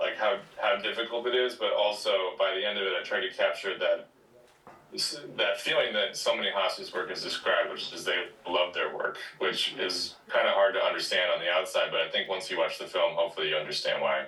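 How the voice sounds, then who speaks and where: A man talks at a fairly quick pace in a Midwestern accent. Noticeable background noise is present. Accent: Midwest, noticeable on some words. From Wisconsin, small town. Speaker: film director and writer. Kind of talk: interview.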